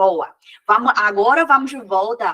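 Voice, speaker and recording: The woman's voice has a bright, sharp tone. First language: Mandarin Chinese (speaking Portuguese). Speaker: Mandarin teacher. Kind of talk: lecture.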